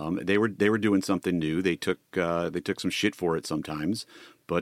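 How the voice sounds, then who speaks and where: A man with an unremarkable speaking voice talks at a fairly quick pace with ordinary pitch variation. The sound is dry and close with no echo, in a very clean recording with a silent background. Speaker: podcast co-host, former TV executive. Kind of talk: casual interview chat.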